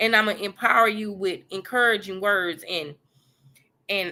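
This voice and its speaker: A woman's voice sits at a medium pitch, and her intonation stays fairly even. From US South, Mississippi Gulf Coast. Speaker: life coach, podcast host. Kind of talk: motivational faith talk.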